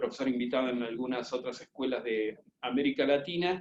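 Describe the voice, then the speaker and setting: The speaker has an Argentine accent and ordinary pitch variation. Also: man. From Argentina. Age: 50s. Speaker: business school professor. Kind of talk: webinar presentation. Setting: video conference from home. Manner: fast.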